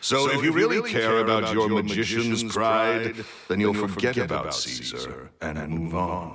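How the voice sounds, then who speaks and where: A booming male voice with lively intonation, a fairly slow pace and hardly any pauses, over noticeable background noise. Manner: curt, dismissive.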